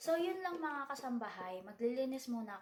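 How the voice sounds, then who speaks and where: Audible room echo surrounds a woman who talks fairly quickly. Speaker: vlogger and house cleaner. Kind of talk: casual vlog talk. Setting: in a bathroom at night. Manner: soft-spoken.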